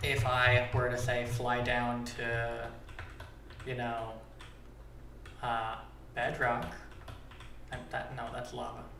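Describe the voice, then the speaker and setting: A man talks at a very slow pace with long, frequent pauses. Audible room echo and noticeable background noise fill the recording. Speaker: Minecraft data pack creator, streamer. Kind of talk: live stream tutorial. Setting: live stream. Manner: casual, filler-heavy. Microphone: echoey audio.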